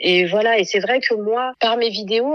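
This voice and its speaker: Quick-paced speech comes from a woman at a fairly high pitch. She has an unremarkable speaking voice. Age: 30s. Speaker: mother and content creator. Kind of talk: casual chat.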